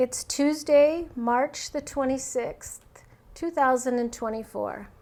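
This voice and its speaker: Intonation stays fairly even as the words come out very slowly. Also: woman, high pitch for a woman. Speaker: oral history interviewer. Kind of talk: formal interview introduction.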